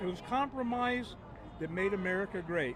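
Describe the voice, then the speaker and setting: There is noticeable background noise as a man talks in a high pitch with ordinary pitch variation. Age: 70s. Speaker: protester interviewed on street. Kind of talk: street interview.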